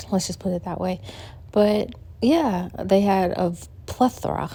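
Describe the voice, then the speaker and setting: A woman talks at a fairly slow pace. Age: 50s. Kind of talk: casual vlog talk to camera. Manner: upbeat, chatty.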